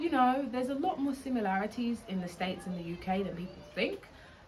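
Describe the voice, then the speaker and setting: Speaking at a very fast pace with lively intonation, a woman with a British accent is heard over noticeable background noise. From England (Essex, London). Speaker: travel vlogger. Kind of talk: casual vlog monologue.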